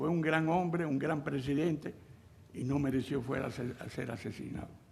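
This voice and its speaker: Someone talks at a fairly quick pace, with audible room echo around the voice. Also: man. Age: 80s+. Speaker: former Cuban exile militant, witness. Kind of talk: testimony.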